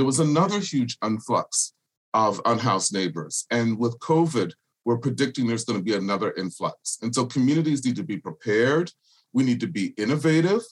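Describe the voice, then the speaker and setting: Using a plain, everyday voice, a man with an American accent speaks at a medium pitch and a fairly quick pace with lively intonation. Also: dry, close sound with no echo. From US South, Charleston, South Carolina (Gullah culture). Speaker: political candidate and nonprofit director. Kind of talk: interview.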